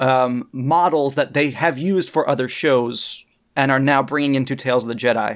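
On a very clean recording with a silent background, a man speaks at a fairly high pitch in a plain, everyday voice. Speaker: guest on fan podcast. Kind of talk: casual chat.

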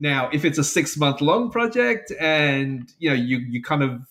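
Here is a man with a London accent. His fairly high voice has a bright, sharp tone. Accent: southern English (London). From England. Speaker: software developer and side project maker. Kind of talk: casual interview. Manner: hesitant, many fillers and repeats.

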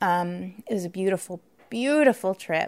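Her pitch medium and her intonation lively, a woman speaks at a fairly slow pace in a very clean recording with a silent background. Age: 40s. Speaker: podcast host. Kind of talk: solo podcast monologue. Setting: home recording. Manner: halting, many fillers.

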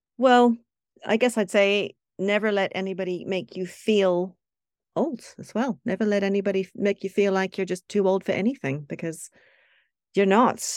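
Woman with a normal speaking voice, medium pitch, ordinary pitch variation and moderate pace, on a very clean recording with a silent background. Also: dry, close sound with no echo. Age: 50s. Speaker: freelance journalist. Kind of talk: interview.

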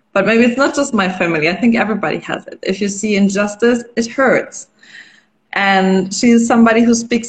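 In a German accent, a woman talks in a somewhat breathy voice. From western Germany, near Düsseldorf. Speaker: NGO founder. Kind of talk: interview. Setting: Instagram live stream.

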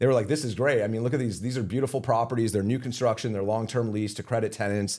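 Here a man with an American accent speaks at a medium pitch. His pace is very fast. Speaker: real estate investment executive. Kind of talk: interview. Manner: fillers and repeated words.

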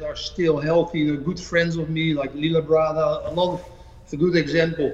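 Over noticeable background noise, a man speaks in a fairly high pitch with monotone, flat intonation. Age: 50s. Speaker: bodybuilding coach and former pro bodybuilder. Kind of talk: interview. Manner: halting.

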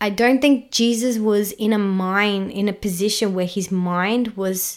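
Pitched fairly high, a woman's voice comes through with an Australian accent. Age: 30s. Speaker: podcast host. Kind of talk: casual chat.

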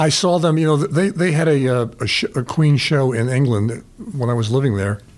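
At a moderate pace and very even loudness, a man speaks with lively intonation in a New York accent. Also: fairly high pitch for a man. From New York, the Bronx. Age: 80s+. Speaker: retired sales executive. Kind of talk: interview, life stories. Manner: halting, with repeated fillers.

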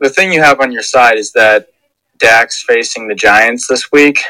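Dry and close with no echo, a man's voice moves at a moderate pace. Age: 20s. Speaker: football fan guest. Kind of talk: casual chat.

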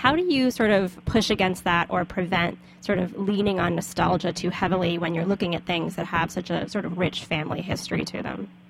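Speaking with an American accent, a woman talks fairly quickly at a fairly low pitch with hardly any pauses. Her intonation is fairly even, and noticeable background noise can be heard. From US South. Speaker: podcast host. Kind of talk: casual interview. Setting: studio.

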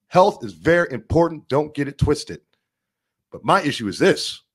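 In a very clean recording with a silent background, a man talks in an animated tone with vocal fry and very wide pitch swings. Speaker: political podcast host. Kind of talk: political monologue livestream.

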